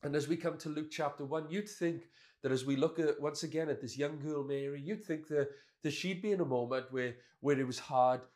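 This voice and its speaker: A man's fairly high voice with a Welsh accent, ordinary pitch variation and a moderate pace. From Wales. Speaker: pastor. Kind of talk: sermon.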